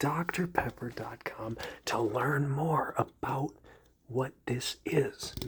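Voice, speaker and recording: Every word is whispered. The pace is very slow. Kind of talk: ASMR whisper ramble.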